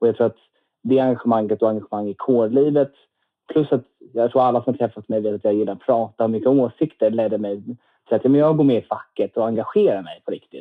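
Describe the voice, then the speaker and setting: A man at a medium pitch, very fast pace, slight Scanian accent and fairly even intonation. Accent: little Skåne dialect audible. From Lund, Skåne, southern Sweden. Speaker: medical student and student union chair. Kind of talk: podcast interview.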